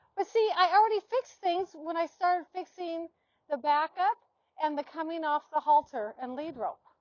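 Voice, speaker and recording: Speaking at a moderate pace, a woman with an extremely high pitch uses lively intonation. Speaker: horse trainer. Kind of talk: demonstration. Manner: loud.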